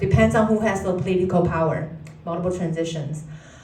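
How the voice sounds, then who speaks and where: Over noticeable background noise and audible room echo, a woman speaks with ordinary pitch variation. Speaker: family therapist. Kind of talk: lecture. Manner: halting.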